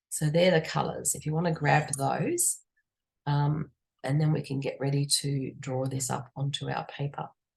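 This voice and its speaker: Somewhat breathy woman with a very deep, low pitch, monotone, flat intonation and a moderate pace. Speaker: art teacher. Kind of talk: tutorial. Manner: casual, chatty.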